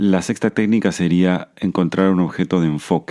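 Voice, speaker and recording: A man's voice with a dark, mellow tone and ordinary pitch variation. The sound is dry and close, with no echo. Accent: Argentine. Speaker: podcast host, Buddhism and anxiety teacher. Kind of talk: podcast monologue, self-help talk. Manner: hesitant fillers; slowing down, calmer pace.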